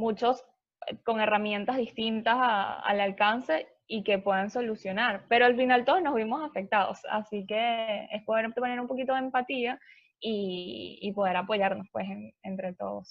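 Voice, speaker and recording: A plain, everyday voice from a woman, fairly high in pitch, with ordinary pitch variation and a fairly slow pace. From Venezuela. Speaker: travel agency owner. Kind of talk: interview.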